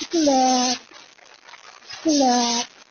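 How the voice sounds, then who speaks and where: The speaker uses a put-on character voice in a Philippine accent. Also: female-sounding voice, high pitch for a woman. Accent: Ilonggo. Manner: sweet, tender, soft.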